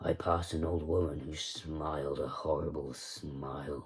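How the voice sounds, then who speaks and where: The speaker puts on a raspy character voice delivered in a flat, monotone intonation. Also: man. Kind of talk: spoken-word poetry reading. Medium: read story. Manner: slow, deadpan, measured.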